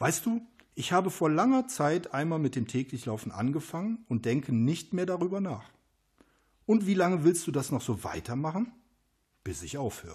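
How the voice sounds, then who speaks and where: A man at a moderate pace with very wide pitch swings and long, frequent pauses, over a quiet background. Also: fairly high pitch for a man. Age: 50s. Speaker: runner and self-published author. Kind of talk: casual interview. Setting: at his home after a run.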